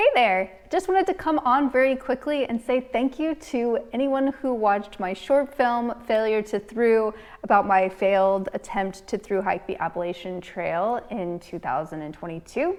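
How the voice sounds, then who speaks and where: A woman with an American accent and a fairly high pitch talks at a moderate pace with hardly any pauses and very wide pitch swings. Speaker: hiking vlogger. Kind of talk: casual chat.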